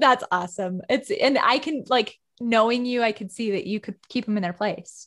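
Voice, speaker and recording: A woman uses a normal speaking voice at a fairly high pitch. Her intonation is lively and her pace moderate. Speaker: podcast host. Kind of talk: casual interview chat. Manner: warm, friendly.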